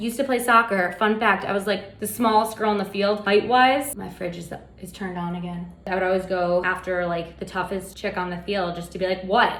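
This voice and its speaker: A woman speaks at a fairly quick pace with hardly any pauses, her pitch medium and her loudness swinging widely. The room echo is audible and the background noise noticeable. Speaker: baking show host. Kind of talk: casual tutorial. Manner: fast; animated.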